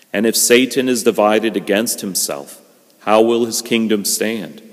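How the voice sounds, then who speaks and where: A man speaking at a fairly slow pace over music in the background. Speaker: priest. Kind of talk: liturgical scripture reading. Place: church.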